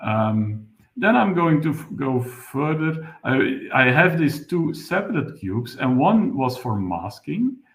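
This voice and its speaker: Very slowly and with hardly any pauses, a man with a fairly high, somewhat breathy voice makes very wide pitch swings. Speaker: webinar presenter, software developer. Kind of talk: technical tutorial webinar. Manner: halting, many fillers.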